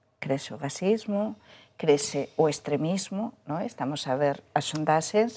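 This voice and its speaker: A woman's very deep, low voice with a dark, mellow tone, lively intonation and a fairly slow pace. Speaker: journalist. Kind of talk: panel discussion.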